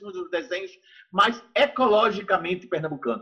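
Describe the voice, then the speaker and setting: This man speaks at a high pitch. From Brazil, Recife (Pernambuco). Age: 60s. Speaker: visual artist. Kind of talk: interview.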